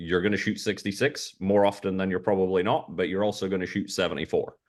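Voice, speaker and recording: Fairly quick speech with a Scottish accent over a quiet background. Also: man. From Scotland. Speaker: golf caddy. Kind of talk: interview. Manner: halting.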